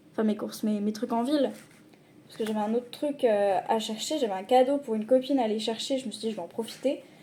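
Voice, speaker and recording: Delivered at a very fast pace, the voice is somewhat breathy with a dark, mellow tone, big swings in loudness and ordinary pitch variation. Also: woman, fairly high pitch for a woman. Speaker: vlogger. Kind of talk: casual vlog talk.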